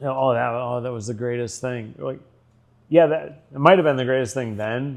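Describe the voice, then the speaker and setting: A man is speaking. His pitch is medium. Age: 60s. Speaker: retired corporate executive. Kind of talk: casual chat. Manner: halting, many restarts and fillers.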